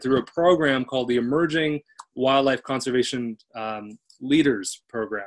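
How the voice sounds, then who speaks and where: Quiet surroundings, a male speaker, ordinary shifts in pitch. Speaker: event host. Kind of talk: webinar hosting talk. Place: home room. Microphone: webcam.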